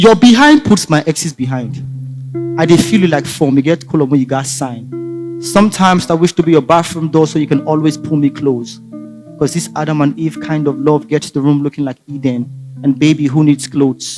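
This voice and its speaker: A man with a Nigerian accent talks at a fairly quick pace in a fairly high pitch, with ordinary pitch variation and music playing in the background. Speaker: spoken word poet. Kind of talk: spoken word poetry performance.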